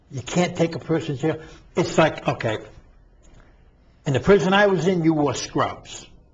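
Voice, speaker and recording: Somewhat breathy and fairly high-pitched, a man with an American accent talks at a moderate pace with ordinary pitch variation. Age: 60s. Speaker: former prisoner and reform advocate. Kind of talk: interview. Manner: animated.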